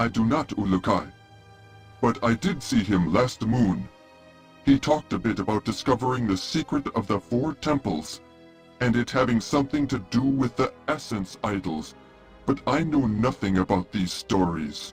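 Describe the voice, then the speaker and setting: Clear music plays behind a man using a put-on character voice. His pitch sits in the medium range and his pace is moderate. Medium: video game. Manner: formal, polite, no contractions.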